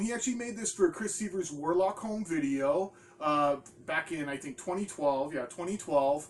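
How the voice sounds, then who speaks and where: Noticeable background noise surrounds a man with a high pitch. He talks at a moderate pace with lively intonation. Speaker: small DVD label owner, horror video host. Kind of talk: casual product rundown video. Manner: animated.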